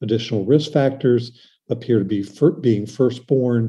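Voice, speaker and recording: With little sound behind him, the man talks with typical rises and falls in pitch. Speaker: pediatric surgeon; presenter. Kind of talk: lecture. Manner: fast. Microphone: webcam.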